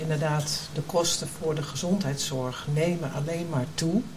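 Very deep and low in pitch, a woman speaks at a moderate pace with ordinary pitch variation. Noticeable background noise and audible room echo fill the recording. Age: 60s. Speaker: healthcare executive. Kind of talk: panel discussion.

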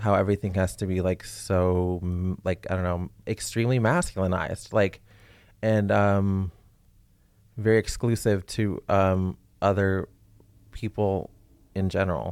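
Very deep and low, a man's voice moves at a fairly slow pace with fairly even intonation and long, frequent pauses, on a very clean recording with a silent background. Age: 30s. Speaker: program graduate and intern. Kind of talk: casual explanatory chat. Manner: halting, many fillers.

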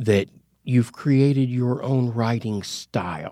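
A man speaks with an American accent at a medium pitch. His tone is dark and mellow. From Oklahoma. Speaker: novelist and war veteran. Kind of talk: interview. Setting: studio.

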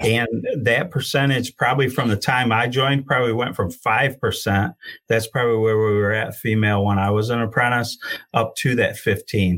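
An ordinary speaking voice from a man with an American accent, medium in pitch, moderate in pace, with fairly even intonation. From Michigan, Genesee County. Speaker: union career and outreach coordinator, heavy equipment operator. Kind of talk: interview.

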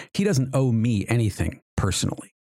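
A man in a normal speaking voice at a moderate pace, with ordinary pitch variation. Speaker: podcast host.

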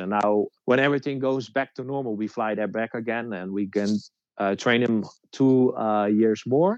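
A man speaks with a Dutch accent at a fairly slow pace. His pitch is medium, with ordinary pitch variation. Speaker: detection dog trainer. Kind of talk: casual interview. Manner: halting.

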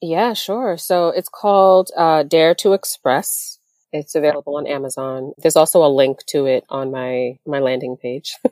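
This woman talks at a moderate pace in a very deep, low pitch, her dark, mellow tone carried by lively intonation. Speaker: business founder and attorney. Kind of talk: interview conversation.

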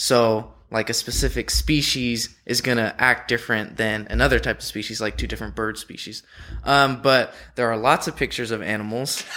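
Speaking with a Californian accent, this man talks. His pace is moderate. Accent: Californian American. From San Diego. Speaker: zoo student keeper. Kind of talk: interview.

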